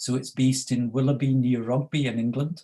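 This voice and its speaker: Speaking in a Scottish accent, a man uses a somewhat breathy, dark, mellow tone with fairly even intonation. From Scotland. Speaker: researcher on youth crime and addiction. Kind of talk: panel presentation. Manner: halting, many fillers.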